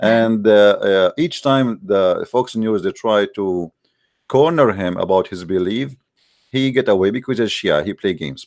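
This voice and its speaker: Someone with an Arabic accent talks at a moderate pace, using ordinary pitch variation. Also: man, fairly low pitch for a man. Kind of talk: live call-in show. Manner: halting; animated.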